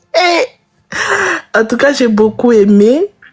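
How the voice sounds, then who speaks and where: A woman speaks at a very slow pace. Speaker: live stream viewer. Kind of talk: casual chat.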